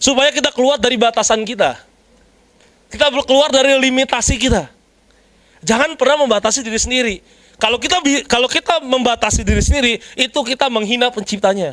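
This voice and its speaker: An animated tone comes through at a very fast pace, with ordinary pitch variation and very even loudness. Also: man, extremely high pitch for a man. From Jakarta, Indonesia. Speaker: preacher. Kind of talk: sermon.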